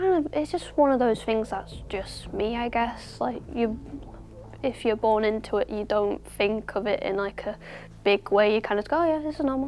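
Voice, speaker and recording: A woman with a Yorkshire accent at a moderate pace. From Yorkshire, northern England. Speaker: fashion design student. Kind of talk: interview. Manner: casual, hesitant with fillers.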